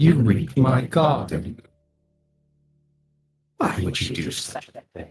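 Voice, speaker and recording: With long, frequent pauses at a fairly slow pace, a man speaks in a put-on character voice of medium pitch. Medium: actual play. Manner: calm, unhurried, coolly mocking.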